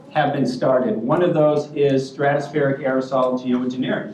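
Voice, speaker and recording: A man with an American accent speaks at a moderate pace, his pitch fairly high and his intonation fairly even. Noticeable background noise and audible room echo fill the recording. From US, California. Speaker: workshop moderator, filmmaker. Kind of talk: panel introduction speech. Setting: conference room with audience.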